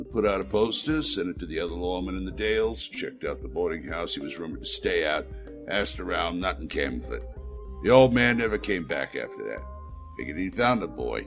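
A man puts on a gruff character voice with a very deep, low pitch. He talks at a very fast pace while clear music plays in the background. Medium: audio drama. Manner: gruff, resigned.

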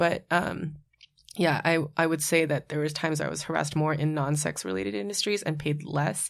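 Speaking at a fairly quick pace, a woman with vocal fry and a very deep, low pitch shows ordinary pitch variation in a very clean recording with a silent background. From Hawaii, Oahu. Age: 30s. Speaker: sex worker and activist. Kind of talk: casual panel discussion.

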